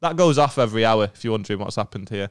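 A man speaks with a northern English accent. His pitch is fairly low. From northern England. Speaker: comedian. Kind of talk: casual chat. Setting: studio.

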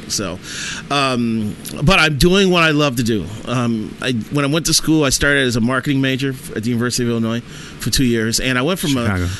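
In an American accent, the speaker talks at a fairly quick pace with ordinary pitch variation over noticeable background noise. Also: man, medium pitch for a man. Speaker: sports writer. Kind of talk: casual chat.

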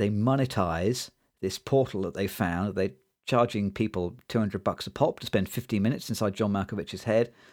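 On a very clean recording with a silent background, a man with a British accent speaks at a moderate pace in a fairly low pitch with ordinary pitch variation. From Britain. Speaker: podcast host, film discussion. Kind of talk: casual chat, film review podcast. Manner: comedic, laughs often.

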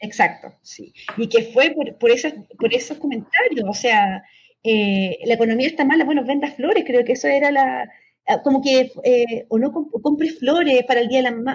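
A woman's high-pitched voice at a moderate pace. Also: ordinary pitch variation. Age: young. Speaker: political scientist. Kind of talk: interview.

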